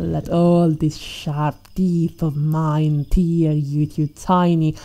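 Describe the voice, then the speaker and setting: In a very deep, low voice and a dark, mellow tone, a woman speaks at a very slow pace with monotone, flat intonation and a menacing, playful tone. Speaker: ASMR roleplay performer. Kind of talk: ASMR roleplay, scripted villain monologue as a T-Rex predator. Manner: menacing, mocking and playful, with relishing sighs and laughs; slow, theatrical and teasing, purring as she taunts her prey.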